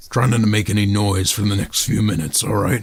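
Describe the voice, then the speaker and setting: Over light background noise, a man puts on a raspy character voice, fairly low in pitch and delivered at a very fast pace. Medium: actual play. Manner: casual, unbothered.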